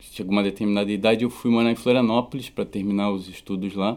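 In a very clean recording with a silent background, a man speaks with a fairly low pitch and monotone, flat intonation. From southern Brazil (Rio Grande do Sul). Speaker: musician. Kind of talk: interview. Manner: halting.

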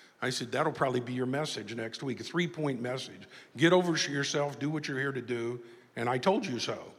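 With an unremarkable speaking voice, a man talks at a fairly quick pace in a medium pitch. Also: ordinary pitch variation. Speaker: motivational speaker and author. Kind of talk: speech.

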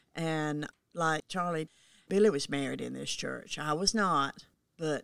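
A woman talks in a Southern US accent at a very slow pace. Her pitch is very deep and low, with ordinary variation. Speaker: longtime church member. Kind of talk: casual chat.

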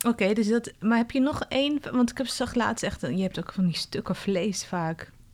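Her fairly high voice carries lively intonation as the woman speaks. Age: 30s. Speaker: podcast host and coach. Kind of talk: interview. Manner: loud.

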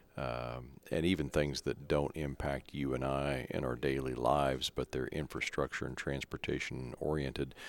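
Speaking at a moderate pace with a Midwestern American accent, a man has a very deep, low pitch, vocal fry and monotone, flat intonation. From small-town Kansas. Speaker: podcast host, association director. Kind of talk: interview. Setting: public works office.

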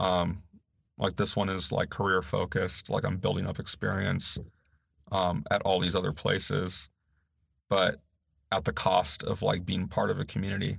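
In a very clean recording with a silent background, a man with an American accent and a very deep, low pitch speaks at a moderate pace with fairly even intonation and long, frequent pauses. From US West Coast, Los Angeles (San Gabriel Valley). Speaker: librarian, former Marine. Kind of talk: interview. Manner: direct.

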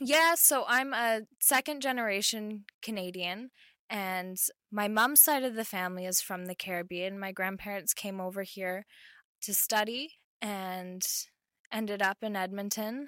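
A woman speaks at a medium pitch in a plain, everyday voice. Her pitch variation is ordinary. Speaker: university student. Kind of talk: casual interview.

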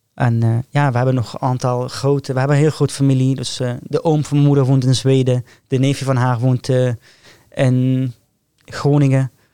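Dry and close with no echo, this man's voice has a dark, mellow tone and medium pitch. His moderate-paced delivery has monotone, flat intonation and very even loudness. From northern Syria, Raqqa. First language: Arabic (speaking Dutch). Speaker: hospital care worker and aspiring medical student. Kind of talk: podcast interview.

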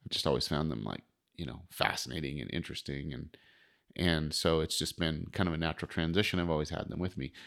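The speaker talks at a very fast pace with an American accent. There is vocal fry, and the pitch varies in an ordinary way. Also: man, very deep, low pitch for a man. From US West, Wind River Reservation, Wyoming. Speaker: fishing guide and psychologist. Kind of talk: casual interview.

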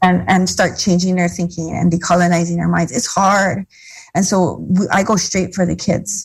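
A woman speaks at a moderate pace with a fairly low pitch. Her intonation is monotone and flat, with vocal fry. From Hawaii, Molokai. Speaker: educator and community organizer. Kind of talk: interview.

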